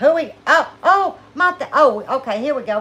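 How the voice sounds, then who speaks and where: Raised and projected, a woman's bright, sharp voice moves at a fairly slow pace with lively intonation and an animated tone. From South Louisiana. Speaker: homesteading channel host. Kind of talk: casual livestream chat.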